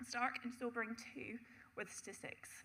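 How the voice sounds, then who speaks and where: Bright and sharp in tone, a woman's fairly high voice carries vocal fry at a moderate pace. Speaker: city councillor. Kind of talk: council debate speech.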